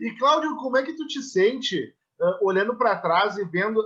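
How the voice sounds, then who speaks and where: A man's extremely high-pitched voice at a moderate pace. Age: 20s. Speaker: interviewer. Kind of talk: casual interview.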